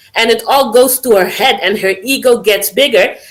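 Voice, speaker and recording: A woman speaks with a non-native accent at a fairly high pitch. Her pace is moderate and her pitch varies in an ordinary way. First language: not English. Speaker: caller. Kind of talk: casual call-in discussion. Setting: voice call via Discord.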